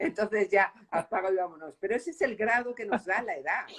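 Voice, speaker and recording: Very wide pitch swings in a woman's medium-pitched voice. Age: 60s. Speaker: novelist. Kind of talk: interview. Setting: book fair.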